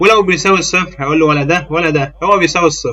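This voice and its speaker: Talking at a very fast pace, a man uses a high-pitched voice with a bright, sharp tone. He has an Egyptian accent. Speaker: programming teacher. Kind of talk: tutorial. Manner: casual; halting.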